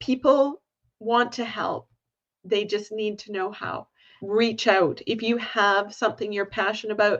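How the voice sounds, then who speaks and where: With a Canadian accent, this is an ordinary speaking voice moving at a fairly slow pace with ordinary pitch variation against a quiet background. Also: woman, fairly high pitch for a woman. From Canada. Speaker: volunteer management consultant. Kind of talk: interview conversation.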